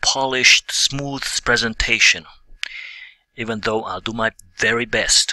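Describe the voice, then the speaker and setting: The recording is dry and close with no echo as a man speaks at a fairly slow pace. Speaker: business coach. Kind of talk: online course lecture. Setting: at his desk. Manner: halting, occasional stumbles.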